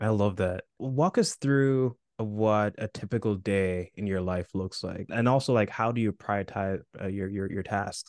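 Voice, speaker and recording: In a dry, close recording with no echo and a quiet background, a man with an ordinary speaking voice and a fairly low pitch talks at a fairly slow pace with hardly any pauses. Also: ordinary pitch variation. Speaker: podcast host. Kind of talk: interview.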